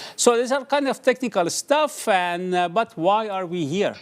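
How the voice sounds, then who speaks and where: A man with lively intonation at a fairly slow pace, on a very clean recording with a silent background. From Iran. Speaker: journalist and event moderator. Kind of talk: live event moderation. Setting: studio, livestream. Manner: halting, many fillers.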